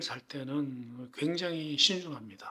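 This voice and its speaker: With a fairly high pitch and ordinary pitch variation, a man talks at a very slow pace. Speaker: woodworker. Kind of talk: product review.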